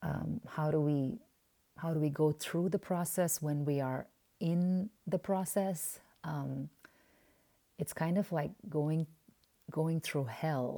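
Speaking at a very slow pace, a woman with a very deep, low pitch and a dark, mellow tone uses ordinary pitch variation on a very clean recording with a silent background. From Oman (Indian family). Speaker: podcast host. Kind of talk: personal reflection monologue. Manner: halting, frequent fillers.

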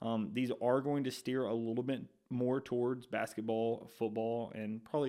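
A man with an Alabama accent, dark and mellow in tone, at a moderate pace with fairly even intonation. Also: very clean recording, silent background. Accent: Southern US (Alabama). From Alabama, Shelby County. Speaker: sports podcast host. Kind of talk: casual intro monologue.

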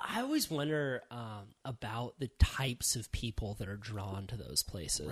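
A man speaks with an American accent at a moderate pace. The recording is very clean, with a silent background. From California. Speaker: podcast host.

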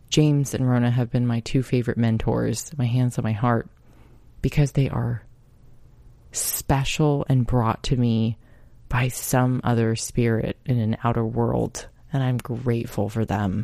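The voice has a dark, mellow tone and a calm, soothing manner, moving at a fairly slow pace with fairly even intonation. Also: woman, very deep, low pitch for a woman. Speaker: podcast host. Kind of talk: casual self-help monologue.

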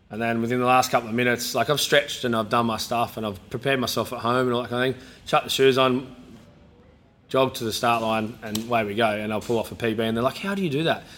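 This man speaks very fast at a medium pitch. His intonation stays fairly even. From New South Wales, Australia. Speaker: gym owner and former rugby league player. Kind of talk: casual interview. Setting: in-person at his gym.

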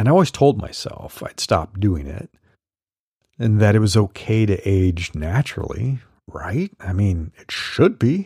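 On a very clean recording with a silent background and a dry, close sound with no echo, a man speaks fairly slowly in a fairly low, somewhat breathy voice with a dark, mellow tone, lively intonation and big swings in loudness. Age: 50s. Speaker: solopreneur coach and newsletter podcaster. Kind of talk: solo podcast monologue reading newsletter.

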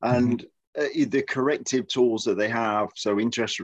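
A man speaks with an English Midlands accent against a quiet background. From Midlands, England. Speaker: podcast host. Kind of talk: casual chat.

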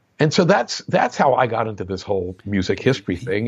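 A man with an American accent talks at a fairly quick pace. His somewhat breathy voice moves in very wide pitch swings. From New Jersey. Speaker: music historian and composer. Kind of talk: interview.

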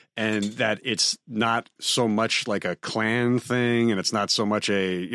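An ordinary speaking voice belongs to this man with an American accent, who talks at a fairly slow pace and a fairly low pitch. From suburban New York. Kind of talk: casual chat.

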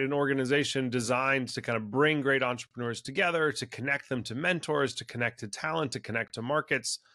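On a very clean recording with a silent background, a man with a Californian accent speaks at medium pitch in a bright, sharp tone. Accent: Californian American. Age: 40s. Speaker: venture capital investor. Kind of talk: interview.

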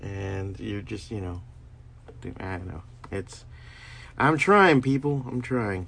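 A man's fairly low, relaxed voice at a very slow pace, with lively intonation and long, frequent pauses. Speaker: stand-up comedian and podcaster. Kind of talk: casual solo monologue. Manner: meandering, relaxed.

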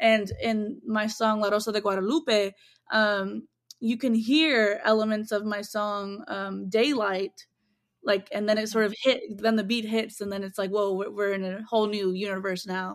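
Someone with an American accent speaks at a moderate pace with fairly even intonation. It is a normal speaking voice in a very clean recording with a silent background. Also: woman, fairly high pitch for a woman. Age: 20s. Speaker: singer-songwriter and producer. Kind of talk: interview.

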